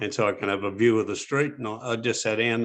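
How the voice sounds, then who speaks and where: Speaking with an Australian accent, a man with a medium pitch talks at a moderate pace with fairly even intonation. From Sydney, Australia. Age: 70s. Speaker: former criminal. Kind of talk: interview answer. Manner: sharp.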